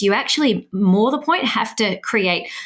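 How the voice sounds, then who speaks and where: With an Australian accent, a woman is speaking. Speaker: language education founder, parent. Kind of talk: podcast interview.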